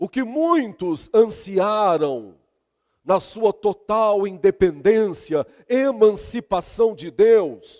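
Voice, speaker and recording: In a Minas Gerais accent, a man talks at a very slow pace with a high pitch, lively intonation and big swings in loudness, the sound dry and close with no echo. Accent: mineiro. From Brazil, Minas Gerais. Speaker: pastor. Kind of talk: sermon.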